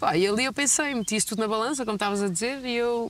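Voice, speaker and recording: A woman talks at a very fast pace with ordinary pitch variation, in a dry sound with no echo. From Portugal, Gafanha da Nazaré (Aveiro); Portugal. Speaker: basketball player; interviewee. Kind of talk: interview. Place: street. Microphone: lapel.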